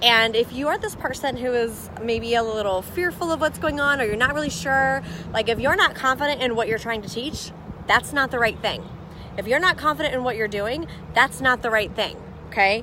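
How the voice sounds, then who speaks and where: The voice is loud and moves at a fairly quick pace, with ordinary pitch variation. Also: woman, high pitch for a woman. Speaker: business coach. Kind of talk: live stream chat. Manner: loud, boisterous; fast.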